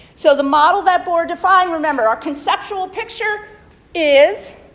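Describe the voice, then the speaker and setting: Noticeable background noise runs through the clip. A woman speaks at a moderate pace. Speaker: chemistry lecturer. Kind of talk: lecture. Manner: many fillers, okay and um.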